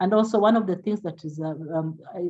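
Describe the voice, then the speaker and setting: A woman's fairly low, somewhat breathy voice with a dark, mellow tone, very fast, with ordinary pitch variation. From Kenya. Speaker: palliative care doctor. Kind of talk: lecture.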